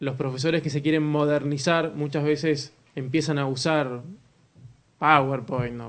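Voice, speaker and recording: In an Argentine accent, a man speaks with a fairly high pitch. Audible room echo is present. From Argentina. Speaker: communication speaker at a church conference. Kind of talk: conference talk.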